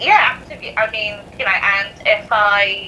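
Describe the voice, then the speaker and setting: A woman speaks with a British accent over noticeable background noise. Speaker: spooky storyteller. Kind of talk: casual chat.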